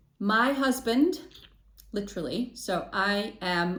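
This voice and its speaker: Somewhat breathy, a woman speaks with lively intonation amid audible room echo. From Chicago, US (born in Poland). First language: Polish. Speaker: intercultural trainer, podcast co-host. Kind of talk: interview.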